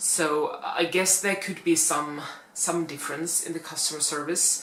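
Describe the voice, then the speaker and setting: A woman at a fairly slow pace with fairly even intonation, amid noticeable background noise and audible room echo. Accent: Finnish. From Finland. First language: Finnish. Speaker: plus-size fashion YouTuber. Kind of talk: casual vlog talk. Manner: hesitant, many fillers.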